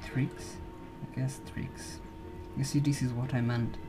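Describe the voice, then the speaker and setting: The voice carries a Slovenian accent. Music plays in the background. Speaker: video blogger. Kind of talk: casual monologue. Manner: halting. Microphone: poor audio.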